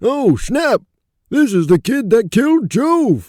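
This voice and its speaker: Using a put-on character voice, a man speaks at a fairly slow pace in an extremely high pitch. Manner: brash, mocking.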